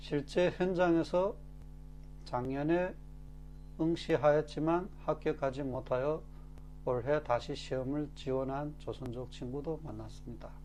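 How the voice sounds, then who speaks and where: A man speaks at a very slow pace with long, frequent pauses, while music plays in the background. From Korean-Chinese from China. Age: 40s. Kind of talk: casual talk to camera.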